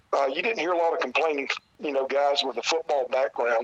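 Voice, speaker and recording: A man with an American accent speaks at a fairly high pitch and with fairly even intonation, in a dry, close recording with no echo and noticeable background noise. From South Carolina. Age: 50s. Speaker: retired pro wrestler. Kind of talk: interview. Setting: phone call.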